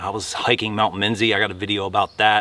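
A man's fairly low pitch, an ordinary speaking voice, at a moderate pace in a dry sound with no echo. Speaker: hiking vlogger. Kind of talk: casual vlog chat. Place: forest.

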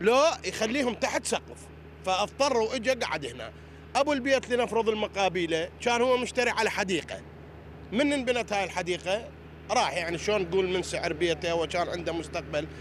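A man with a western Iraqi accent speaks at a high pitch and a moderate pace, with lively intonation. The sound is dry with no echo, over light background noise. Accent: Iraqi Arabic (Anbar). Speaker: local resident; interviewee. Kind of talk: street interview. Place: street. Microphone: handheld.

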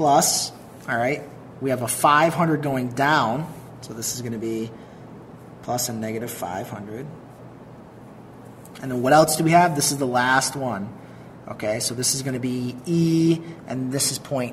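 Light background noise sits under fairly slow speech broken by long, frequent pauses. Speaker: teacher explaining truss problem. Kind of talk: tutorial.

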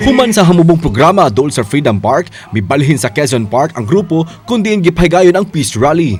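Over music in the background, a man speaks fairly quickly with hardly any pauses, his fairly high pitch swinging very widely. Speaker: news reporter. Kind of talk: scripted TV news report narration in Cebuano, read in a steady voice-over. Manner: formal, even-paced, measured newsreader delivery.

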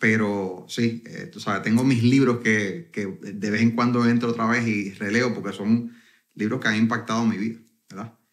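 This is a man with an ordinary speaking voice. He talks at a moderate pace and a medium pitch. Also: fairly even intonation. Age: 40s. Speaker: network marketing entrepreneur. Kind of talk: interview conversation.

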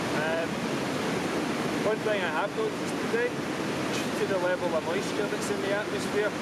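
A man's voice with long, frequent pauses, dry with no echo, over loud background noise. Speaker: landscape photographer. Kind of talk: casual talk to camera. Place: waterside.

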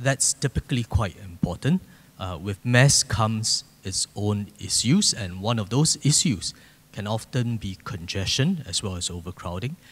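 Somewhat breathy, a man talks at a moderate pace. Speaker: speaker. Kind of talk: panel discussion answer. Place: hall. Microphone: handheld.

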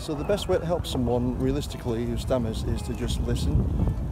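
A man's voice with a dry sound with no echo, over music in the background. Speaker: person who stammers. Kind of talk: casual talk to camera. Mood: earnest, calm. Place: garden. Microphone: phone near.

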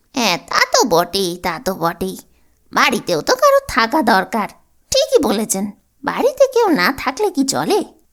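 A put-on character voice at a moderate pace. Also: woman, high pitch for a woman. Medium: read story. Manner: deferential, stammering.

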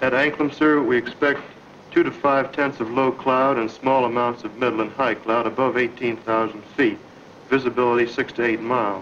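A man talks at a moderate pace with fairly even intonation over light background noise. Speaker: military officer in a staged briefing. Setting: military operations room. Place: office. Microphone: old recording.

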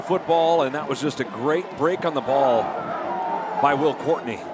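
The man talks at a fairly quick pace over noticeable background noise. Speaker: color commentator. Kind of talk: sports commentary analysis. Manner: animated, enthusiastic.

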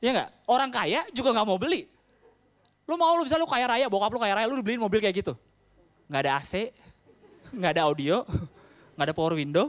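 A man at a fairly quick pace, with long, frequent pauses. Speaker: stand-up comedian. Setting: stage with audience. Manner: casual Jakarta-style slang, conversational and quick. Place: stage. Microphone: handheld.

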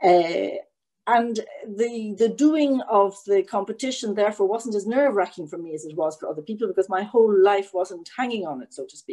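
A woman with an Irish accent at a moderate pace, with lively intonation, big swings in loudness and a quiet background. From Ireland. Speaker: EU lawyer; webinar panelist. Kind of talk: panel talk. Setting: online event. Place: home room. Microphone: webcam.

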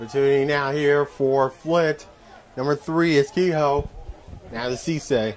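An excited, energetic man at a fairly high pitch with ordinary pitch variation, speaking at a fairly slow pace over music in the background. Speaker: sports play-by-play commentator. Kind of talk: live soccer play-by-play commentary. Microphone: headset.

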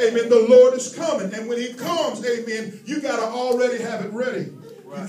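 The speech is animated in tone and fairly quick, with ordinary pitch variation. Light background noise and audible room echo are present. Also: man. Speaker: preacher. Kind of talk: sermon. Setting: church. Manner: animated, call-and-response preaching with constant 'amen' and rising intensity. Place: hall. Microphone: handheld.

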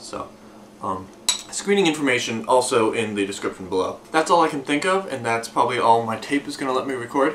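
A man keeps a fairly quick pace while light background noise sits underneath. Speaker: video blogger. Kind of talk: casual vlog chat. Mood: relaxed and upbeat. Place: home room. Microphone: camera far.

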